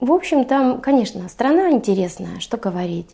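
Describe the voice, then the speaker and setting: Her voice is high-pitched, with a dark, mellow tone. The background is quiet. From Siberia, Russia (Irkutsk region). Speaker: paramedic living abroad. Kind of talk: interview. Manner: hesitant, filler-heavy.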